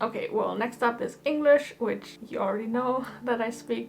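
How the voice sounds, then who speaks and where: Music playing behind a woman talking at a moderate pace. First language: German. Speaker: engineer and YouTuber. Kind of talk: casual vlog talk.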